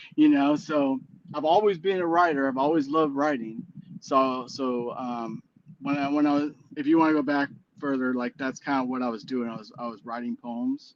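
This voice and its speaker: An American-accented man speaks at a moderate pace in a fairly high pitch with ordinary pitch variation. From US Midwest (Illinois). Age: 40s. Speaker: musician. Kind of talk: casual interview chat. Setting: live stream. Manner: hesitant, many fillers.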